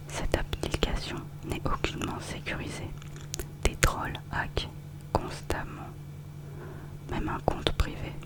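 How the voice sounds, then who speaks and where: Whispering at a very slow pace with long, frequent pauses, the voice comes through over noticeable background noise. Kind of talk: ASMR review reading, casual commentary. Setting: close-mic studio recording. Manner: whispered, soft-spoken, relaxing.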